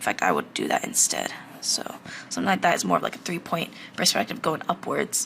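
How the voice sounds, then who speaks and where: Whispering at a fairly quick pace. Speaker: art instructor. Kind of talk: tutorial. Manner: halting, self-correcting; casual.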